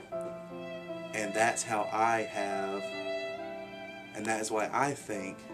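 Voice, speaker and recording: A man speaks over loud background music. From Alabama. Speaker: youth theater director. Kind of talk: award application appeal to camera. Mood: earnest, heartfelt. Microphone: webcam.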